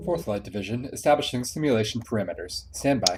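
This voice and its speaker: A man puts on a robotic character voice at a medium pitch, talking very fast over clear background noise. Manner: flat, procedural.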